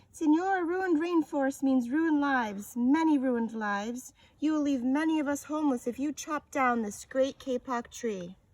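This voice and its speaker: In a squeaky, high-pitched put-on character voice, a woman talks at a moderate pace with hardly any pauses. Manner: pleading.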